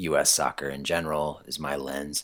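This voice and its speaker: A man's bright, sharp tone with vocal fry and an American accent, on a very clean recording with a silent background. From US Midwest, eastern Iowa. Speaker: newspaper reporter, soccer writer. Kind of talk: casual chat.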